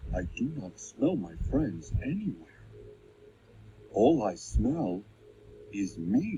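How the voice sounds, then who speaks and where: Using a robotic, cartoonish character voice, a man speaks at a very slow pace with a fairly low pitch and long, frequent pauses. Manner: formal, robotic phrasing.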